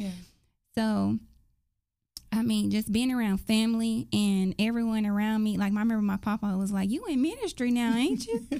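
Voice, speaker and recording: This woman speaks at a moderate pace with an American accent, her fairly high voice dark and mellow in tone and her intonation fairly even. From US South, Dallas, Texas. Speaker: faith podcast co-host. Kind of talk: casual faith chat.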